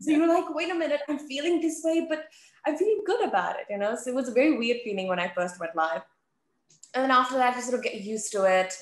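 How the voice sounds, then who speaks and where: A woman with an Australian accent, high-pitched and very fast, with very wide pitch swings and audible room echo. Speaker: sports TV presenter. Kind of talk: casual interview. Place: home room. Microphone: video call.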